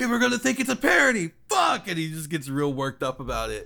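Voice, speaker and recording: A man at a fairly quick pace with lively intonation, on a very clean recording with a silent background. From US South. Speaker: podcast host and voice actor. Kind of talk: casual chat.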